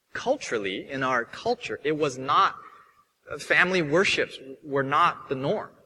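This man has an ordinary speaking voice at a fairly high pitch. His intonation is lively and his pace moderate. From Hong Kong, moved to California at six. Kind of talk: sermon.

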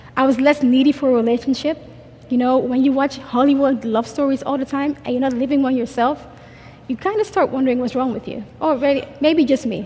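A woman speaks at a fairly quick pace in a high voice with fairly even intonation, over noticeable background noise. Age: 20s. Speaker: conference speaker. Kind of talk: testimony. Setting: stage with audience. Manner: fast talker.

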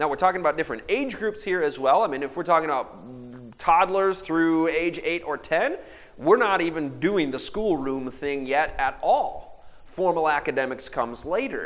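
A normal speaking voice from a man, fairly high in pitch, with an American accent, lively intonation, and a moderate pace. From Michigan. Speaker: speaker. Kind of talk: sermon.

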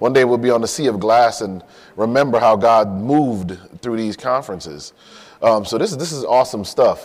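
Speaking fairly quickly at a medium pitch, a man with an American accent shows ordinary pitch variation. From Connecticut, Hartford. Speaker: physician and lay preacher. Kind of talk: sermon. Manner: halting.

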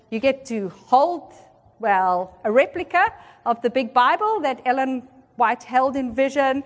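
Speaking in a South African accent, a woman with a high pitch and an animated tone takes a fairly slow pace. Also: lively intonation. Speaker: seminar presenter. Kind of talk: lecture. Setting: conference room with audience.

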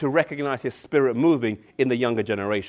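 The background is silent in this very clean recording. A man uses a plain, everyday voice, medium in pitch with ordinary pitch variation. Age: 30s. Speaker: preacher. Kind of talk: sermon.

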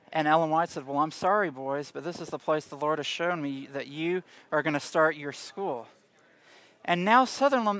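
In a Southern US accent, a bright, sharp tone proceeds at a moderate pace on a very clean recording with a silent background. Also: man. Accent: Southern American. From US South, Tennessee. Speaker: Bible class teacher. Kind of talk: lecture.

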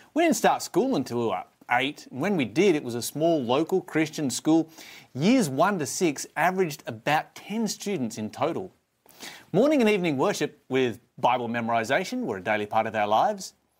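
With an Australian accent, a man speaks at a fairly high pitch with very wide pitch swings. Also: moderate pace, very clean recording, silent background. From Tasmania, Australia. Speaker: preacher. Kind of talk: sermon. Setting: live stream.

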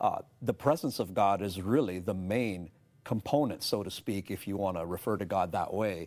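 Recorded very cleanly against a silent background, a man with a Canadian accent and a plain, everyday voice speaks at a moderate pace, pitched fairly low with ordinary pitch variation. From Canada, Toronto. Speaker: pastor and seminar speaker. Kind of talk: religious discussion.

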